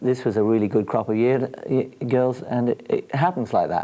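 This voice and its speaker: With an English accent, a man talks at a moderate pace. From England. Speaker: girls field hockey coach. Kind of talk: TV interview. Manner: hesitant, many fillers.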